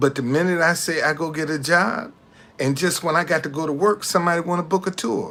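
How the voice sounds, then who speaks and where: A high-pitched man with a bright, sharp tone and ordinary pitch variation. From Alabama, US South. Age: 60s. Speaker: tour guide and business owner. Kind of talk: casual livestream monologue. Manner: halting, repetitive.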